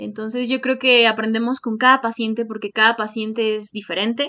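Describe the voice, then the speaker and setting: A woman with a Mexican accent, her tone bright and sharp, against a quiet background. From Mexico. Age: 20s. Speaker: medical student and YouTuber. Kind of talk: tutorial. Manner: hesitant, many fillers.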